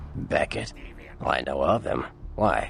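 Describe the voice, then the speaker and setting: At a moderate pace, a man uses a put-on character voice, with clear background noise behind him. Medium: video game. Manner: casual, breezy.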